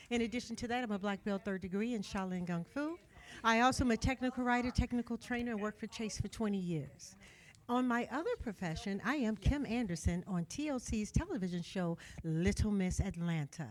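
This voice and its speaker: Talking at a fairly quick pace, a woman uses lively intonation and a fairly high pitch. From Chicago, Illinois. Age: 60s. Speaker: pageant queen. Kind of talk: speech to an audience.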